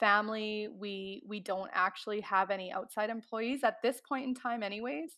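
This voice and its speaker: Speaking with a Canadian accent, a woman keeps a fairly high pitch and fairly even intonation. Her pace is moderate, and the background is quiet. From Canadian Prairies. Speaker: chicken farmer. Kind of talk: interview. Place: home room. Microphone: headset.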